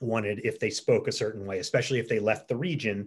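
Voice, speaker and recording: A somewhat breathy voice with an American accent at a fairly quick pace, over a quiet background. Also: man. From Philadelphia area, US. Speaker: journalist and author. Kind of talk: book interview.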